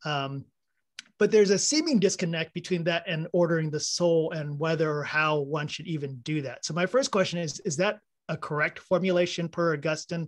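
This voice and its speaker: A man with an American accent talks at a moderate pace. His pitch is high, and the background is quiet. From Texas. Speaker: audience member asking a question. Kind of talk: Q&A question. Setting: video call. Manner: casual, hesitant. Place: home room. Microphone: video call.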